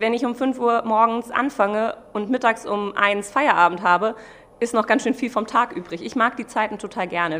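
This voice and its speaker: At a moderate pace, a woman talks with a fairly high pitch in a normal speaking voice. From Germany, Mainz. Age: 30s. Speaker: pastry chef. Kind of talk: interview.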